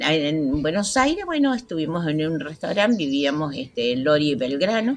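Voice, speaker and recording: Very deep, low pitch from a woman, with very wide pitch swings, a moderate pace and noticeable background noise. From Argentina, Santa Fe province (Santo Tomé). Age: 80s+. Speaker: community elder. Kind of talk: life story interview.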